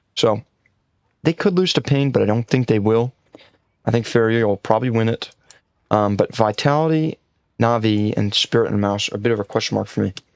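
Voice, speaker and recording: Quiet and very even in loudness, a man at a medium pitch speaks at a fairly quick pace with long, frequent pauses, the sound dry and close with no echo. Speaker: esports content creator. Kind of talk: casual commentary video.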